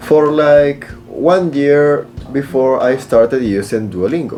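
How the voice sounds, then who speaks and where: Very slowly and with lively intonation, a man with a Spanish accent and a fairly high pitch speaks over music in the background. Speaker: flight instructor and YouTuber. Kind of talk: casual tutorial review.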